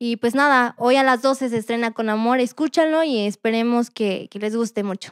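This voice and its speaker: A woman's fairly high voice with a slight Puebla accent, dry and close with no echo, in a very clean recording against a silent background. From Mexico, Puebla. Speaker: rapper and singer. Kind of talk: interview.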